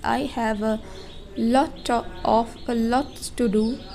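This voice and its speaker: A woman with a non-native accent speaks at a fairly high pitch. Her intonation stays fairly even over noticeable background noise. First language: not English. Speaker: vlogger and English learner. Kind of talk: casual vlog monologue. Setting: indoors at home. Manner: slow; halting.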